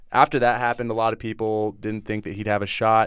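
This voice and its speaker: A man with a plain, everyday voice and a fairly low pitch talks at a fairly quick pace in a very clean recording with a silent background. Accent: American. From Northern California. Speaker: college football player. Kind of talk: casual chat. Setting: studio.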